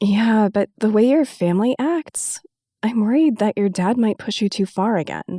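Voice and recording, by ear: A natural voice reading aloud, its pitch varying in an ordinary way, the background quiet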